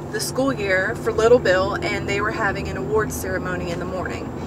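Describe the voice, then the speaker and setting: Amid loud background noise, a woman speaks at a moderate pace with ordinary pitch variation in a dry sound without echo. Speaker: vlogger. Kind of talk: casual vlog chat. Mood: candid, slightly embarrassed. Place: car. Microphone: phone near.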